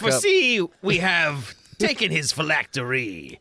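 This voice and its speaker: A man performs in a put-on character voice. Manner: dramatic, proclaiming.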